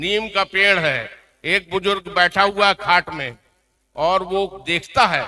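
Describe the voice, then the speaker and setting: A man projects a raised voice in a high pitch and bright, sharp tone, with a dry, close sound with no echo. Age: 70s. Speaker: veteran journalist. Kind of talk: award ceremony speech.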